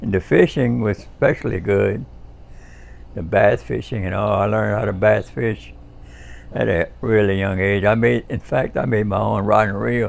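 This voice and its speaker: A man speaks with a Cajun accent. His pace is moderate. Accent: Cajun Louisiana English. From US South, Louisiana bayou (Pierre Part). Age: 70s. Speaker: war veteran. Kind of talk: life-story interview. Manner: halting, many fillers and restarts.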